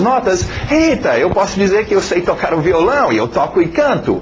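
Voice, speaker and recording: Against noticeable background noise, a man with a non-native accent and a high pitch talks at a moderate pace. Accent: foreign accent in Portuguese. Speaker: English teacher. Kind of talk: video lesson introduction. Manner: halting, many fillers and repetitions.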